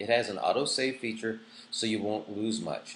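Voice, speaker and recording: There's vocal fry in this man's voice. He moves along at a fairly brisk clip. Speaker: online school teacher. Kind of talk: course orientation tutorial. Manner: fast.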